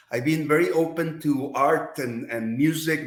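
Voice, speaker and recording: With a Mexican accent, a man speaks fairly slowly at a fairly high pitch, with ordinary pitch variation and audible room echo. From Mexico. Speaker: advertising executive. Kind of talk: podcast interview. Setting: studio. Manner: hesitant with repetitions.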